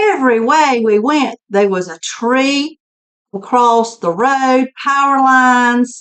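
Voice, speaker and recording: A woman's fairly high voice shows ordinary pitch variation. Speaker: doll collector vlogger. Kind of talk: casual vlog talk. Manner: chatty, repetitive.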